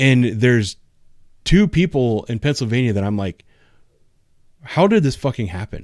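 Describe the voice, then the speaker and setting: A man with an Ohio accent, medium pitch and lively intonation at a moderate pace, on a very clean recording with a silent background. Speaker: police officer and YouTuber. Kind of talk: casual chat. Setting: live stream.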